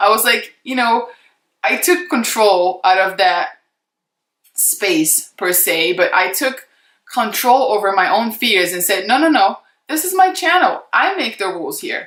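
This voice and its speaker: A woman with a non-native accent at a fairly slow pace, her pitch swinging very widely. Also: fairly high pitch for a woman. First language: not English. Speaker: beauty YouTuber, former model. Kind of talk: casual vlog chat to camera. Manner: unscripted, conversational with many fillers.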